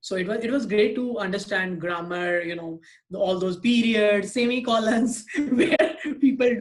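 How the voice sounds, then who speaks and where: Speaking with an Indian accent, a man has a high pitch. He talks at a moderate pace with ordinary pitch variation. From India, Bihar. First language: Hindi or Maithili. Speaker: podcast guest. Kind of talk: casual chat. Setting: video call. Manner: hesitant, many fillers.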